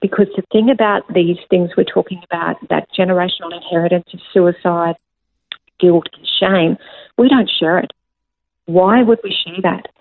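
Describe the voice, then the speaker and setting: Her pitch medium, a woman talks in an Australian accent. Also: ordinary pitch variation, moderate pace, big swings in loudness. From Australia, rural New South Wales. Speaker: author, speaker and life coach. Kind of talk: personal testimony interview.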